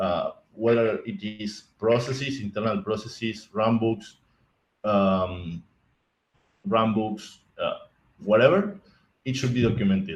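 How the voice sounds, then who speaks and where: Speaking with a non-native accent, a man talks at a fairly slow pace and medium pitch with ordinary pitch variation and long, frequent pauses. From Argentina. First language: Spanish. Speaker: IT architect, conference speaker. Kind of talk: conference talk. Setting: virtual conference stream. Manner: halting, many repetitions and restarts.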